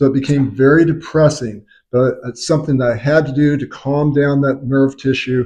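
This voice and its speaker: A man's fairly high pitch comes through in an unremarkable speaking voice. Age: 60s. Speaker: chiropractor. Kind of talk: tutorial.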